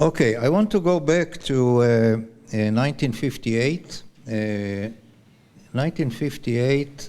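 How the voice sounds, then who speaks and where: A man's dark, mellow voice with an Israeli accent, lively intonation and a very slow pace. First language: Hebrew. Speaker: retired army officer and scientist. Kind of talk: conference talk. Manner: halting.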